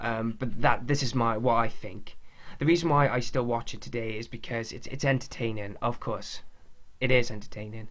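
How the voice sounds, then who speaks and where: At a moderate pace, a man with a Welsh accent talks in a medium pitch with fairly even intonation. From Wales. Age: 20s. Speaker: podcast host, wrestling fan. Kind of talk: casual monologue podcast. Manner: halting, with pauses and stuttering.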